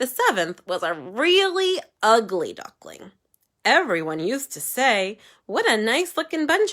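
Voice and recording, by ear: Against a quiet background, this is reading aloud in a natural voice.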